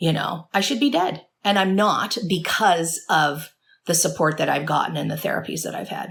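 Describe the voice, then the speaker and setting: A woman speaks at a moderate pace with vocal fry. Her pitch is fairly low. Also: ordinary pitch variation. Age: 40s. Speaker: addiction recovery therapist and author. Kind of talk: interview conversation. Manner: stutters when emotional; earnest.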